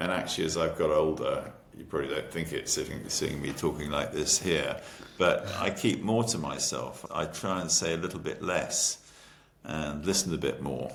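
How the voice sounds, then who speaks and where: Spoken at a moderate pace in an English accent, the clip has audible room echo and noticeable background noise. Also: man. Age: 70s. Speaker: entrepreneur. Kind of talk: interview.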